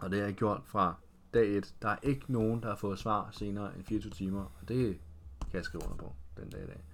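A man with an unremarkable speaking voice talks at a moderate pace, fairly low in pitch with ordinary pitch variation. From Denmark, Roskilde (Zealand). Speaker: fitness trainer, former footballer. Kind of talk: casual interview.

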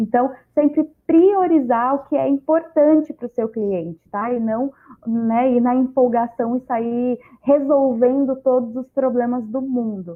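A high-pitched woman at a fairly slow pace. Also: ordinary pitch variation. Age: 20s. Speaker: startup mentor and speaker. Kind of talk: panel discussion.

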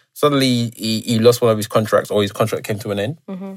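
Very fast pace marks this man's speech. The recording is very clean, with a silent background. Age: 30s. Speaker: podcast host. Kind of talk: casual chat.

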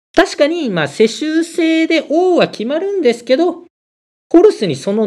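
An extremely high-pitched man speaks at a moderate pace with lively intonation. His loudness swings widely. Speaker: motorcycle podcast host. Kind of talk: casual monologue explaining mythology.

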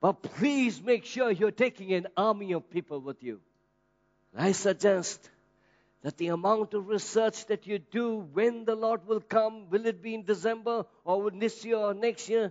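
A man speaks with a high pitch and an animated, passionate tone at a fairly slow pace, with ordinary pitch variation and music playing in the background. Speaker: pastor. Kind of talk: sermon, preacher in full flow, rising into fervent prayer and call-and-response. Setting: church. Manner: animated, passionate, urgent, exhorting the congregation; bold, rhetorical, builds with repeated phrases.

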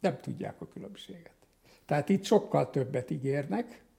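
This man's fairly high voice carries vocal fry. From Hungary. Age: 80s+. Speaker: psychiatrist and psychotherapist. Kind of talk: interview.

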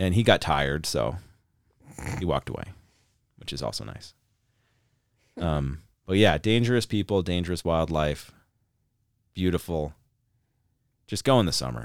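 In a very clean recording with a silent background, a man with an American accent and a very deep, low voice speaks at a moderate pace with lively intonation, big swings in loudness and long, frequent pauses. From Montana. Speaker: podcast host. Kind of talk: casual chat. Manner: hesitant, many fillers.

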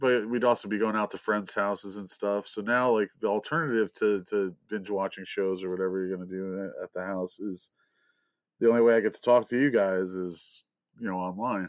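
A man speaks in a plain, everyday voice at a fairly quick pace, with fairly low pitch and fairly even intonation. The background is quiet. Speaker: co-host. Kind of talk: casual chat. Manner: joking.

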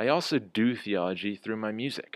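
Over a silent background in a very clean recording, a man with an American accent speaks fairly quickly at a fairly low pitch, with ordinary pitch variation. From US Midwest (near Kansas City, Missouri). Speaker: theology professor. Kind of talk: interview. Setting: call.

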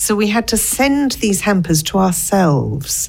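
With an English accent, a woman is talking. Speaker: business owner. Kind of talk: interview. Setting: studio.

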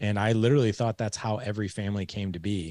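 A man speaks at a fairly quick pace with fairly even intonation and a fairly low pitch, in an ordinary speaking voice. The recording is very clean, with a silent background. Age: 40s. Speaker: fatherhood podcast host and coach, guest. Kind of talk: interview, personal storytelling.

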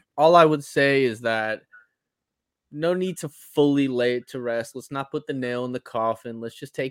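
Speaking at a moderate pace, a man with an unremarkable speaking voice keeps a medium pitch with ordinary variation. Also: dry, close sound with no echo. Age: 20s. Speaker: recurring podcast guest. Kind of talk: casual chat.

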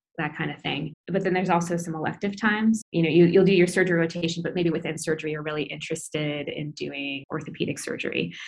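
A woman with an American accent speaks at a fairly low pitch with fairly even intonation. She talks very fast, with hardly any pauses. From US Midwest, Iowa City. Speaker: pediatric intensive care doctor. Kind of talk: interview, casual.

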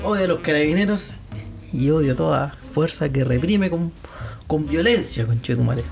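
Over background music, a man with a fairly high pitch speaks at a moderate pace with lively intonation and very even loudness. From Chile, Santiago. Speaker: podcast host. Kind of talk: casual chat.

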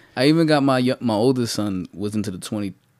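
A man with a New York accent at a moderate pace, on a very clean recording with a silent background. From New York City (the Bronx). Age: 30s. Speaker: podcast co-host. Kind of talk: casual chat.

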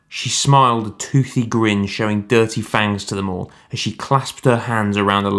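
A text is read out loud. The delivery sounds natural.

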